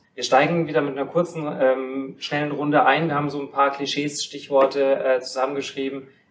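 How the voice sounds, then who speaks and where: A man has an ordinary speaking voice with a fairly high pitch. He keeps a moderate pace and fairly even intonation. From Kaufbeuren, Bavarian Swabia. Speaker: podcast host. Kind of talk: casual chat. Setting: studio.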